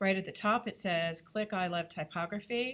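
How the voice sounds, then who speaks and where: The pace here is moderate, with ordinary pitch variation. It is an ordinary speaking voice. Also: woman. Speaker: graphic design instructor. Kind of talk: lecture. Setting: classroom.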